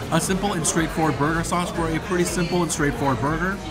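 Loud music plays in the background. Over it, a man talks at a very fast pace. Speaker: food reviewer. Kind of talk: food review commentary. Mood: upbeat, enthusiastic. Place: hall. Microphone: phone near.

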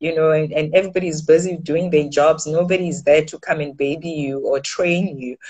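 A woman's very deep, low pitch with monotone, flat intonation. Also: quiet background. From South Africa. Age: young. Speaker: news anchor and author; news anchor. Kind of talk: interview conversation. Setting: remote call. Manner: hesitant, many fillers and repeated words. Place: home room. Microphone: video call.

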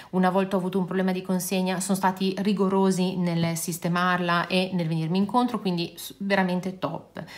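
The speech comes at a fairly quick pace with monotone, flat intonation. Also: woman. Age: 50s. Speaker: beauty and nail youtuber; nail youtuber. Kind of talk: casual product review vlog.

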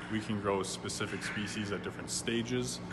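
A man's fairly low voice at a moderate pace, with ordinary pitch variation and noticeable background noise. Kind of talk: interview answer. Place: factory. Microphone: phone near.

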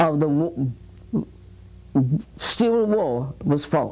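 Very slow and marked by long, frequent pauses, a woman with an American accent speaks in a dark, mellow tone with lively intonation. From Mississippi. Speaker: retired teacher. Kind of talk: interview answer. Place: studio.

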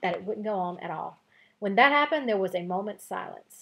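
Lively intonation over plain reading aloud

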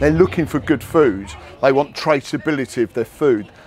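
Faint background music under a man talking at a moderate pace. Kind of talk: interview answer. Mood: cheerful, enthusiastic. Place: market.

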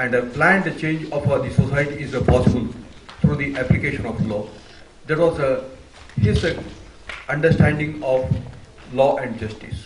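Over noticeable background noise, a man speaks at a moderate pace with ordinary pitch variation. He leaves long, frequent pauses. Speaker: university official introducing a lecture. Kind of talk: formal welcome speech. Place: hall. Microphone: podium.

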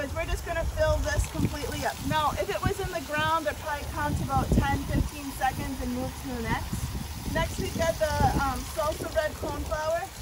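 Loud background noise fills the recording. Over it, a woman speaks fairly quickly. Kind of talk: tutorial. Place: garden. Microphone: camera far.

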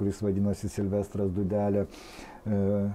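A man's voice, an ordinary speaking voice. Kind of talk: interview answer. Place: studio. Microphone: lapel.

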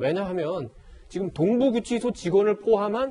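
A man speaks with a high pitch at a moderate pace. His intonation is lively. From South Korea. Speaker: newspaper editorial writer. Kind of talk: news panel discussion. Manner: halting. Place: studio. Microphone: lapel.

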